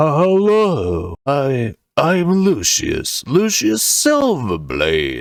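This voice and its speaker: In a put-on character voice, a man speaks at a fairly high pitch and a very slow pace, with hardly any pauses. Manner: righteous, lofty.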